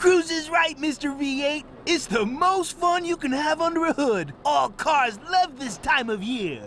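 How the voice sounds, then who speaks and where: A cartoonish character voice with a high pitch goes at a fairly slow pace with hardly any pauses. Clear background noise sits behind it. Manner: urgent, cheerful.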